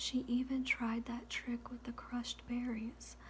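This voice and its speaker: The voice is soft-spoken, with a gentle tone. Noticeable background noise runs underneath. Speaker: ASMR reader. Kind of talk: ASMR audiobook reading, sleep story. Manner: soft-spoken, gentle, relaxing.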